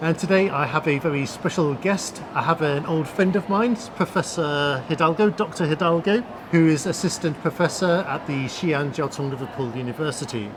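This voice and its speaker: Talking at a moderate pace with hardly any pauses, a man uses a fairly high pitch and ordinary pitch variation over noticeable background noise. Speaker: YouTube host, former reporter. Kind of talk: interview questions to guest.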